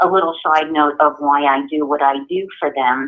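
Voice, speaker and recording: In a New York accent, a woman speaks with a very deep, low pitch. Her intonation is monotone and flat, and her pace is fairly slow. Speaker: guide dog school outreach representative. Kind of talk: presentation to a group.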